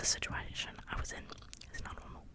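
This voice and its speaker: Noticeable noise sits behind a woman who is whispering. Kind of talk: casual talk to camera. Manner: whispered.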